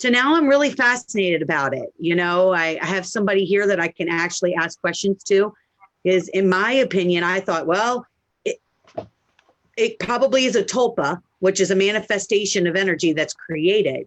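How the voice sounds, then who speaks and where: With an American accent, a woman talks at a fairly quick pace in an ordinary speaking voice, her medium pitch carried by lively intonation in a dry, close sound with no echo. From Maryland, US. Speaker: medium and live stream host. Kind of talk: casual live stream chat. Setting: Facebook live video stream.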